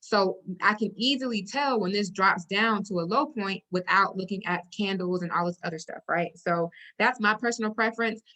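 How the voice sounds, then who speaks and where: A woman's bright, sharp voice at medium pitch, with ordinary pitch variation and a moderate pace. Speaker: forex trading educator. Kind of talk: tutorial. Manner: casual, filler-heavy.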